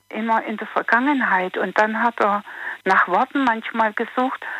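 A woman's fairly high-pitched, unremarkable speaking voice at a fairly slow pace, with ordinary pitch variation and a dry, close sound with no echo. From Sudetenland, later resettled to Germany. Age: 50s. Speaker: caller. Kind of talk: phone call-in chat.

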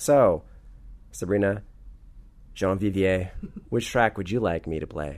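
A man's fairly low voice, fairly slow in pace, with ordinary pitch variation and long, frequent pauses. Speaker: podcast host. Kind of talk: casual interview. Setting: hotel room.

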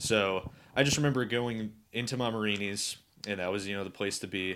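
A man talks with a Northern Ohio accent at a moderate pace. His intonation is fairly even. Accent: Northern Ohio, general American. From Cleveland, Ohio. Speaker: guest. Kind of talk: casual chat.

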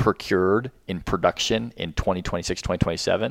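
A fairly quick delivery in an American accent, with a dry, close sound and no echo. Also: man. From US, Washington DC area. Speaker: defense tech executive, former Marine officer. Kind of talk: interview. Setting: in-person studio.

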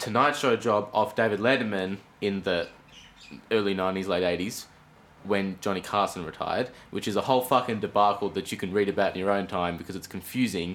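Here a man talks at a moderate pace with an Australian accent. His pitch is fairly low. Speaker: podcast co-host. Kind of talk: casual chat. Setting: home room with window open. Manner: animated.

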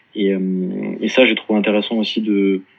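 A man with a fairly low pitch and monotone, flat intonation. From Paris, France. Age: 30s. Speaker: sales manager at a start-up. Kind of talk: interview testimony. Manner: halting, many repetitions.

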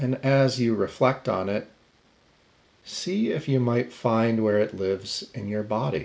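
An ordinary speaking voice carries an American accent. It moves at a fairly slow pace with ordinary pitch variation. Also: man, medium pitch for a man. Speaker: meditation teacher. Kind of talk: guided meditation. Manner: slow, calm, soft-spoken, with long pauses; gentle, invitational.

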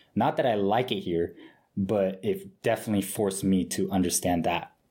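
A man with an American accent, fairly low in pitch and fairly quick in pace, on a very clean recording with a silent background. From Japan, then US. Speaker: college student. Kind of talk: casual interview chat. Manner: animated, talkative.

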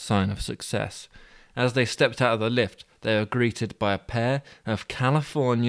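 An unforced reading voice is heard here.

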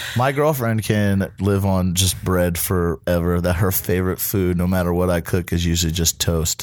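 A man speaks in a very deep, low voice at a moderate pace with ordinary pitch variation and hardly any pauses. The recording is very clean, with a silent background. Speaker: podcast host and line cook. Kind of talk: casual chat; cooking instructions. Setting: studio. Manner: loud.

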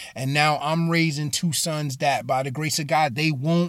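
A man with an American accent and a fairly high pitch, a normal speaking voice, ordinary pitch variation and a moderate pace, in a very clean recording with a silent background. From Bridgeport, Connecticut. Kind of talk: sermon-style monologue. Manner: casual, with many fillers and repeats.

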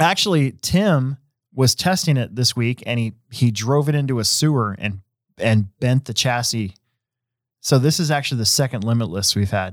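A man with a normal speaking voice and lively intonation speaks at a medium pitch and a moderate pace in a very clean recording with a silent background and a dry, close sound with no echo. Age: 40s. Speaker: podcast host and hobby shop race director. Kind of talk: casual chat; reading race results. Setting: live-streamed studio show.

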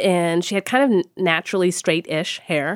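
In a very clean recording with a silent background, a woman with an American accent uses a normal speaking voice at a medium pitch, with a moderate pace and ordinary pitch variation. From Texas. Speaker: fashion studies professor. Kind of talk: interview conversation.

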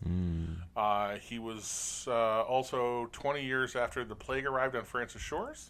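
Pausing hardly at all, a man speaks fairly slowly at a medium pitch with ordinary pitch variation. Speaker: podcast co-host. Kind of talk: casual chat. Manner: loud.

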